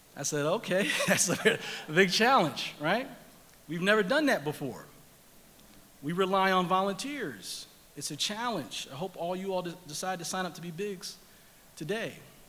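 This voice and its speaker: Raising and projecting his voice, a man with a high pitch and a bright, sharp tone speaks at a moderate pace with long, frequent pauses. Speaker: nonprofit leader giving a speech at a gala. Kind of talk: public speech to an audience at an awards event.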